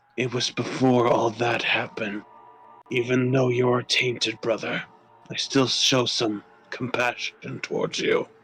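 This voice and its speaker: A man puts on a raspy character voice at a medium pitch. He keeps a moderate pace. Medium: game stream. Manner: formal, archaic phrasing.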